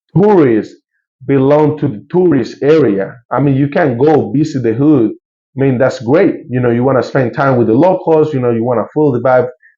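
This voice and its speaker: A man's fairly high voice with a Colombian accent, moderate pace and ordinary pitch variation. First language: Spanish. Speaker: YouTuber and local tour guide. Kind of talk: casual news commentary to camera. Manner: casual, halting with many fillers.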